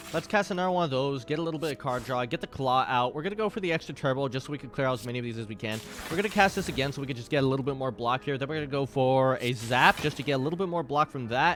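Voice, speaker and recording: Over music in the background, a man with a fairly high pitch speaks at a very fast pace with hardly any pauses. His pitch variation is ordinary. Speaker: gaming streamer. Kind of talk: gameplay commentary. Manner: animated.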